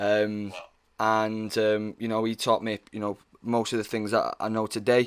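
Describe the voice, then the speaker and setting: A man with a Mancunian accent, medium pitch, monotone, flat intonation and a moderate pace, on a very clean recording with a silent background. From northern England, Manchester. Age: 20s. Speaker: actor. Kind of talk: casual chat.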